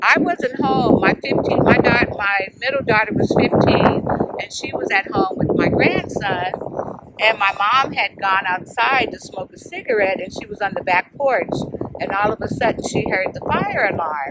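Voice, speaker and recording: A woman speaks at a medium pitch with lively intonation. There is noticeable background noise behind her. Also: moderate pace. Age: 60s. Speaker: grieving daughter at spirit box session. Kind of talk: emotional testimony. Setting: outdoors at a cemetery. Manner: halting.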